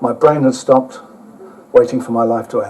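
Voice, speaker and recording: Speaking with an English accent at a fairly quick pace, a man keeps his intonation fairly even amid noticeable background noise. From England. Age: old. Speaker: motorcycle traveller and author giving a talk. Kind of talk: travel talk with slides; reading aloud from own book. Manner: casual, hesitant with fillers.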